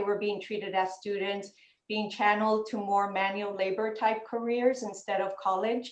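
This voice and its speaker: A woman's fairly high-pitched voice at a moderate pace, with fairly even intonation. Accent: Spanish. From US, Los Angeles (South Central). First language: Spanish. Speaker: panelist. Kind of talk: panel discussion.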